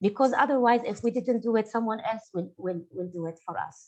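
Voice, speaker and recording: Talking at a fairly quick pace, a woman with an Arabic accent uses a fairly high pitch and ordinary pitch variation. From Syria. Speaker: artist. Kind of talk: panel discussion. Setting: webinar. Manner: halting, many fillers.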